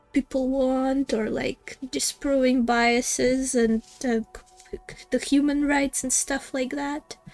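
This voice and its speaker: Speaking very slowly in a Russian accent, a woman with a high pitch keeps a monotone, flat intonation while her loudness swings widely, in a dry, close recording with no echo and music in the background. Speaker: gaming streamer. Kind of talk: live game stream commentary. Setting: live stream. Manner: halting, many fillers and restarts.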